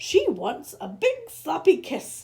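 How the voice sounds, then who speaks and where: Pitched extremely high, the voice is a put-on character. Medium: read story.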